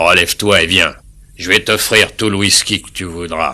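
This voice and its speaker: A man's put-on character voice, very deep and low, at a moderate pace with fairly even intonation and big swings in loudness. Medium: fan dub.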